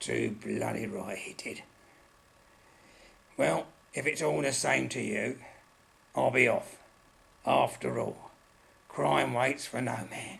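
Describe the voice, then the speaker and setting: A raspy, put-on character voice at a fairly slow pace, broken by long, frequent pauses. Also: man, fairly low pitch for a man. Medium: audio drama. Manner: blunt, colloquial, aggrieved.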